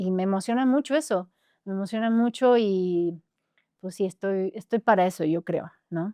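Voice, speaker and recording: A woman with a dark, mellow tone and ordinary pitch variation is heard in a dry, close sound with no echo over a quiet background. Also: medium pitch for a woman, moderate pace. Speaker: singer. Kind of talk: interview.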